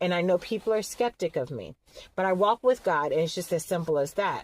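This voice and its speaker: A fairly quick, animated delivery with lively intonation and a dry, close sound with no echo. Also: woman. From Atlanta, Georgia, US South. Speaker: vlogger. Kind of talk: casual vlog monologue. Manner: fast.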